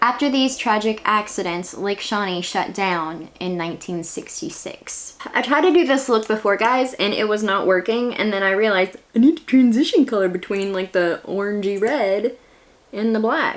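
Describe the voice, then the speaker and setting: A woman with a West Virginia accent talks at a moderate pace with hardly any pauses. Her fairly high pitch shows ordinary variation, over noticeable background noise. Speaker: beauty and history YouTuber. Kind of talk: casual vlog narration. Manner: chatty.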